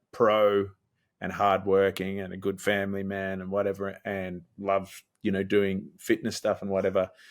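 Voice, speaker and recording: In a very clean recording with a silent background, a man with an Australian accent speaks at a moderate pace in a fairly low pitch with monotone, flat intonation. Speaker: musician. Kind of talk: interview. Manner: casual, hesitant with fillers.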